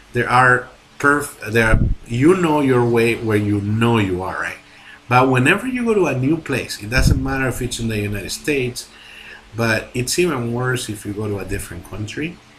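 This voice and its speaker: A man speaks at a medium pitch and a moderate pace with ordinary pitch variation. There is noticeable background noise. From Latin America. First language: Spanish. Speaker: movie reviewer. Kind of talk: video review monologue. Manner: halting, many fillers and restarts; animated.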